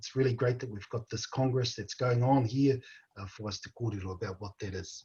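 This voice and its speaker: A somewhat breathy man with a New Zealand accent, medium pitch, ordinary pitch variation and a fairly quick pace. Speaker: panel moderator. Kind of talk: panel discussion. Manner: halting.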